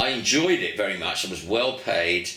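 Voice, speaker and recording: In a room with audible echo and noticeable background noise, a man with an English accent speaks at a fairly slow pace. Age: 70s. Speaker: veteran rock musician. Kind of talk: casual interview reminiscence.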